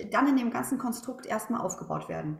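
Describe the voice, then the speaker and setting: Very wide swings in pitch run through a woman's speech. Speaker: former teacher, now coach and speaker. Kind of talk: interview. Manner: animated.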